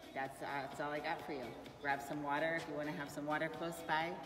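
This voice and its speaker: Over clear music in the background, a woman speaks in a very deep, low voice with fairly even intonation. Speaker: fitness coach. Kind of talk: live class instructions. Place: gym. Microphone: camera far.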